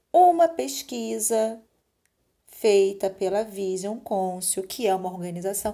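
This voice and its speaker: A woman speaks at medium pitch in a dark, mellow tone. Her pace is fairly slow. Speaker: school teacher. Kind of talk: recorded remote lesson.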